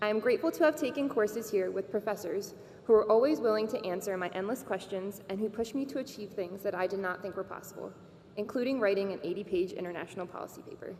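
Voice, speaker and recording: Her medium-pitched voice moves at a very fast pace with ordinary pitch variation as this woman speaks. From Bosnia, raised in Maryland from age 4. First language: Serbo-Croatian. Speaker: graduating student speaker. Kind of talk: commencement speech.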